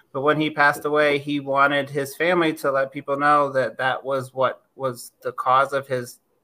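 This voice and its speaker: Fairly high pitch from a man, bright and sharp in tone, with monotone, flat intonation at a moderate pace. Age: 50s. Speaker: infectious disease physician. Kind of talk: interview.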